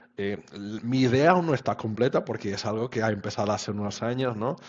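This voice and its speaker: This man has a medium pitch, ordinary pitch variation and a moderate pace. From Portugal. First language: Portuguese (speaking Spanish). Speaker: web standards expert. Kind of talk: interview. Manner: halting.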